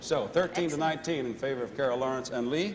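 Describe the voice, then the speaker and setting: A man races along at a very fast pace with ordinary pitch variation as noticeable background noise carries on behind him. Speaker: guest game show host. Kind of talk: game show hosting.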